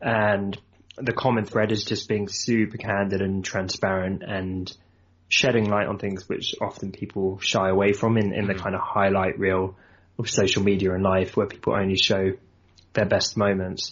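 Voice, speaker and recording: A man with a southern English accent talks at a moderate pace in a fairly low pitch, with monotone, flat intonation. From southern England, Surrey. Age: 30s. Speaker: entrepreneur and designer. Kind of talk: casual interview chat.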